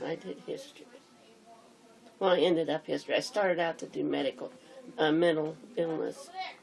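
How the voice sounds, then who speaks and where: Fairly quick female speech broken by long, frequent pauses, with noticeable background noise. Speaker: grandmother. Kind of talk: interview answer.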